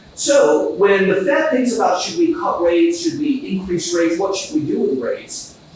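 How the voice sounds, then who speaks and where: Fairly quick speech from a man amid audible room echo and noticeable background noise. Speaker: economist. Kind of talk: conference talk. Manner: fast.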